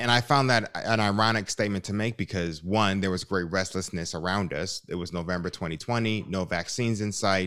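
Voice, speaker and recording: A man with an American accent speaks at a fairly quick pace in an ordinary speaking voice, his fairly low pitch showing ordinary pitch variation. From US, Chicago. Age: 30s. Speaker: musician and theologian. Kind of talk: interview conversation.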